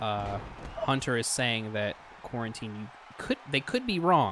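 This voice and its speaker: Noticeable background noise sits behind the recording. A man talks at a fairly slow pace. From West Virginia. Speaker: streamer and show host. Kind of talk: casual chat. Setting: voice call on a live stream.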